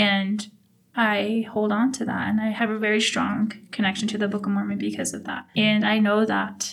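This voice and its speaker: Over noticeable background noise, a woman with an American accent speaks at a moderate pace, her medium pitch held in a monotone, flat intonation. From Navajo, US Southwest. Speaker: oral history interviewee. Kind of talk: personal testimony.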